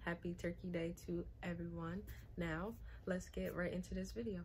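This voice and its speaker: A woman speaks against light background noise. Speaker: beauty vlogger. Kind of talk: casual vlog chat. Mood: cheerful, friendly. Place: home room. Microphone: phone near.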